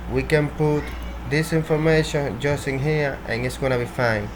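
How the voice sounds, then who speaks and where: Amid noticeable background noise and audible room echo, a man with a Spanish accent speaks at a fairly slow pace. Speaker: programming tutorial creator. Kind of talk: tutorial. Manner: halting, with repetitions.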